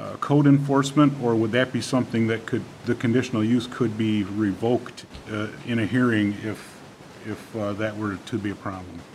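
Over light background noise, a man talks at a moderate pace with fairly even intonation. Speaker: village trustee. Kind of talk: public meeting. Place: meeting room. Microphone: podium.

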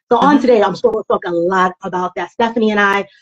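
With a quiet background, a woman talks at a moderate pace in a New York accent. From East New York, Brooklyn. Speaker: guest speaker, personal and professional development consultant. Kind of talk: interview answer. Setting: live social media stream. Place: home room. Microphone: video call.

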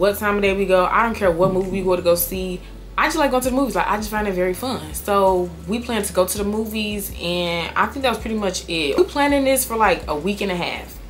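A woman races along at a very fast pace, her pitch varying in an ordinary way, while light background noise sits underneath. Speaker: storytime vlogger. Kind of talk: casual vlog chat. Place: home room.

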